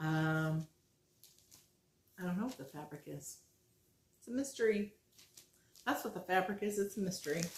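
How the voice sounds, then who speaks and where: A woman at a medium pitch talks at a moderate pace, somewhat breathy, with lively intonation and big swings in loudness. She leaves long, frequent pauses. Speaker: flosstube cross-stitch vlogger. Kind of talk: casual show-and-tell vlog. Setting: at home. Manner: chatty, enthusiastic.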